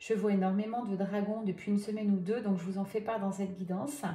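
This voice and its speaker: The tone is gentle and soft-spoken. Music plays in the background, and room echo is audible. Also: woman. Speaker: medium doing tarot guidance. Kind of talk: card reading guidance. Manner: soft, gentle; hesitant, many fillers.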